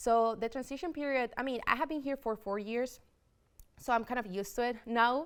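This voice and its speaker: The speaker talks at a fairly quick pace with a slight Spanish accent and ordinary pitch variation. The recording is very clean, with a silent background. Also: woman, high pitch for a woman. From Spain, Madrid. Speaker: student government president-elect. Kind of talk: interview.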